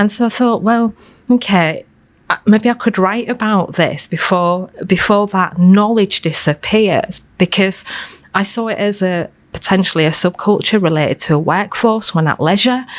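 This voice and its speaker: A woman with a Hull accent speaks at a moderate pace and medium pitch, with ordinary pitch variation. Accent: Hull Hessle Road. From Hull, Hessle Road area, northern England. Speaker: fashion historian. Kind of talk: interview conversation. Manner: hesitant with frequent ums.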